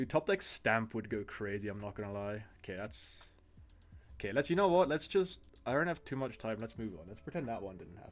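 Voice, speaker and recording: In a very clean recording with a silent background, a man with a non-native accent and medium pitch talks at a fairly quick pace with very wide pitch swings and big swings in loudness. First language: not English. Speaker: card game streamer. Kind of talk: live stream gameplay commentary. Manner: casual, halting with fillers.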